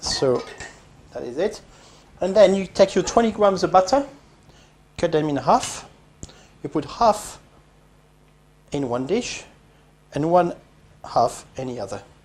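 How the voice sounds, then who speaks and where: Fairly slow speech in a French accent, with long, frequent pauses. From France. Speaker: home cooking video host. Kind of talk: cooking tutorial. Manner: casual, with frequent hesitations.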